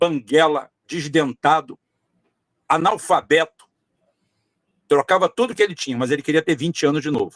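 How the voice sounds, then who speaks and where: The sound is dry and close with no echo, as a man speaks at a moderate pace with long, frequent pauses. His voice is fairly high, with ordinary pitch variation. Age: 60s. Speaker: political candidate. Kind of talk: podcast interview. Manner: repetitive, emphatic with frequent fillers.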